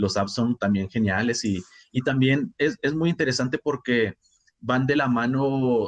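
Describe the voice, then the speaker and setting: A man's unremarkable speaking voice, medium in pitch with ordinary pitch variation, dry and close with no echo. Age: 30s. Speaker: writer, musician and teacher. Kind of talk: casual chat.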